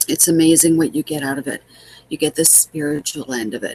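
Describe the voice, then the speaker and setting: The woman's voice is very deep and low in pitch. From Manitoba, Canada. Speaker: home business coach. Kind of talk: vlog tutorial. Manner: halting, repeats words.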